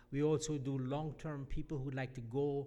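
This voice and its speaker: In a dark, mellow tone, the voice moves at a fairly slow pace with audible room echo. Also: man. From Jamaica. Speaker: mission organization leader. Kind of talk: church address. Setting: church.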